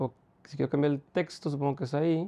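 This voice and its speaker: A fairly high-pitched man with a Mexican accent. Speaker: podcaster trying a tech gadget. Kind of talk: casual chat.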